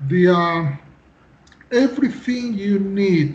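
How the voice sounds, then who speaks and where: Speaking at a very slow pace, a man uses lively intonation at a high pitch for a man. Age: 50s. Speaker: civil engineer. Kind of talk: interview. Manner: halting.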